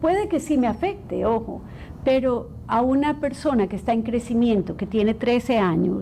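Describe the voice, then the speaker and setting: Here a woman has an unremarkable speaking voice, fairly high in pitch, with lively intonation and a moderate pace. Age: 60s. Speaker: clinical psychologist. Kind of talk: interview.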